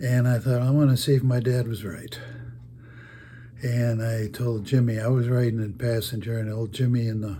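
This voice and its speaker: A man talks at a moderate pace in a flat monotone. The room echo is audible. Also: medium pitch for a man. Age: 80s+. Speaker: storyteller. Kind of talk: casual storytelling. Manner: halting.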